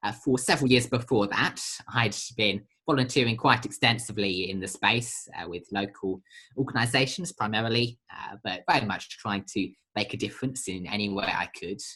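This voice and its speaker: A man with a British accent speaks at a medium pitch with a bright, sharp tone. His pace is moderate and his pitch varies in an ordinary way. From Britain. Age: young. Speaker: social entrepreneur, charity founder. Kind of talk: podcast interview. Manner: hesitant, many fillers.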